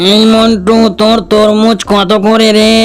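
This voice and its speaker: Over noticeable background noise, a man does a high-pitched cartoonish character voice at a moderate pace. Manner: bossy, threatening.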